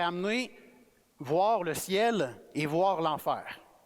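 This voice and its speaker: A man with a Quebec accent speaks with lively intonation. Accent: Québécois French. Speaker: guest preacher. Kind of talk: sermon. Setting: church. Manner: casual, conversational.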